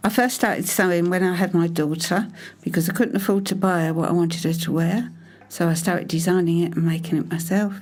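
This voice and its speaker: With a British accent, a woman speaks very fast in a fairly low voice, her intonation fairly even and the room echo audible. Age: 70s. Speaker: mature fashion student. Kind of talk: documentary interview. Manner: halting.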